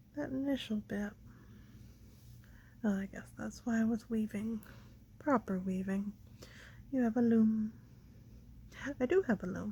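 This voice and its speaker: Soft-spoken and mumbling, a woman talks at a moderate pace with fairly even intonation. Her fairly high-pitched voice is somewhat breathy, with a dark, mellow tone. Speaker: crafter doing mending. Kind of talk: casual talk while crafting. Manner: mumbling, soft-spoken.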